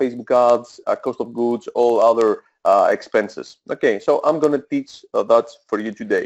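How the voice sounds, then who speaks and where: A man talks at a moderate pace in a Greek accent. The sound is dry and close with no echo, against a quiet background. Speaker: e-commerce coach. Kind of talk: webinar presentation. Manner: hesitant, many filler sounds.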